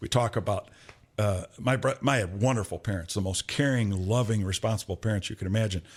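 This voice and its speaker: In a very clean recording with a silent background, a man with an American accent uses an ordinary speaking voice, fairly low in pitch and with ordinary pitch variation. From Michigan, Flint east side. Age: 60s. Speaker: podcast co-host. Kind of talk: casual chat.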